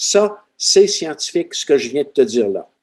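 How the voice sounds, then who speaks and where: A man in a Quebec accent, high in pitch with very wide pitch swings and a dark, mellow tone. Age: 70s. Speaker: retired seismologist. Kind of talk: podcast interview.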